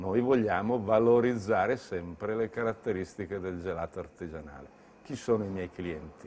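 There is light background noise as a man talks at a moderate pace. His pitch is fairly low, with ordinary variation. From Lombardy, Bergamo; Lombardy. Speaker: entrepreneur. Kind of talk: interview monologue.

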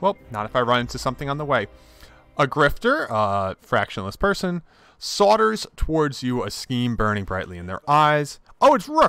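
A man speaks in a fairly high pitch with very wide pitch swings. The recording is very clean, with a silent background. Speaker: gaming YouTuber. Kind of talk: let's play commentary. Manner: upbeat, enthusiastic.

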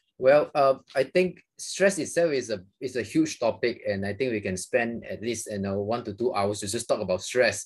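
Lively intonation with a Malaysian accent at a moderate pace over a quiet background. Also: man. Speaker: psychiatrist. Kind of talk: interview. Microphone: video call.

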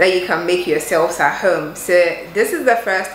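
A woman with a fairly low pitch talks against noticeable background noise. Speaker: lifestyle vlogger. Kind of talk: casual vlog intro. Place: kitchen.

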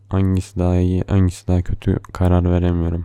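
Very deep and low, this man's voice has a dark, mellow tone. His intonation is monotone and flat. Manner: soft, slow, tender and affectionate, with playful laughs.

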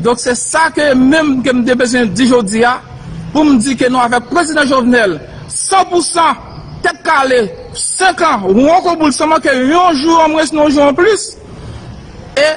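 A man speaks at an extremely high pitch with lively intonation, very even loudness and a very slow pace broken by long, frequent pauses, over light background noise. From Haiti. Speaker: military commander. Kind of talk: press conference statement. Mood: firm, assertive. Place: street. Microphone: phone near.

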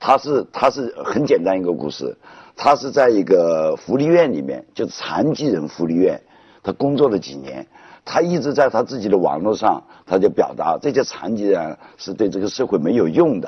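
A man with vocal fry at a moderate pace over a quiet background. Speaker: talk show guest. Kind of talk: animated conversational storytelling. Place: studio.

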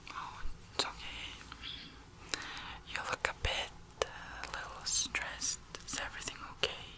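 A woman is whispering at a moderate pace. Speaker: ASMR artist. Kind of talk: ASMR personal attention roleplay, talking to the listener. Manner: soft, gentle, caring. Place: home room. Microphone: studio mic.

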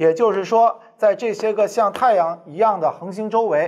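A fairly quick pace with ordinary pitch variation over light background noise. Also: man. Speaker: teacher. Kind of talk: lecture. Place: classroom. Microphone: lapel.

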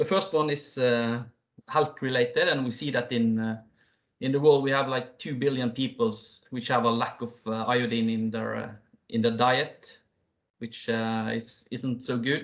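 Speaking with a Norwegian accent, a man uses a medium pitch and fairly even intonation at a fairly slow pace. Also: quiet background. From Norway. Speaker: company CEO and founder; presenter. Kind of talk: business presentation. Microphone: video call.

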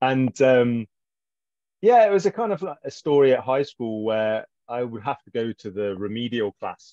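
With an English accent and a dark, mellow tone, a man speaks at a medium pitch and a moderate pace, with big swings in loudness, in dry sound with no echo against a quiet background. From English Midlands. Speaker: author. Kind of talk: casual interview chat. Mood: relaxed, animated gestures. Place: home room. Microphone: video call.

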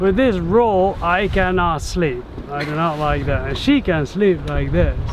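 A man talks at a fairly slow pace. The sound is dry with no echo, but there is noticeable background noise. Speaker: sailing vlogger. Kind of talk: casual vlog chat. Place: boat. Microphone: phone near.

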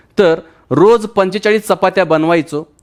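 Here a man talks at a high pitch. His pitch varies in an ordinary way. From Maharashtra, Marathwada (Latur district). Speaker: direct selling entrepreneur. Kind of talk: testimony.

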